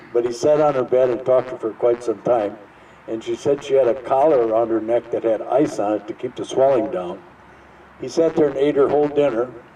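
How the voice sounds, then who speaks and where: A man with an American accent talks at a fairly quick pace, medium in pitch with ordinary pitch variation. Noticeable background noise can be heard. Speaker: local storyteller, Vietnam veteran. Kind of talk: anecdote to audience.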